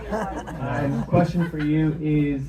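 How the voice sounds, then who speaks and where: Audible room echo around a man's voice, in an American accent. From Washington, D.C. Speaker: audience member asking a question. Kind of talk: audience question. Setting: meet-and-greet event with audience.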